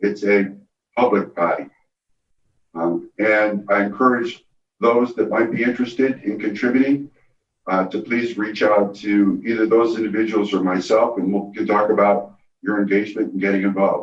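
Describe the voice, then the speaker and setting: The man's fairly low voice holds a moderate pace with fairly even intonation. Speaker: county supervisor. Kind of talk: public meeting remarks. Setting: boardroom meeting with remote attendees on video call. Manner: loud.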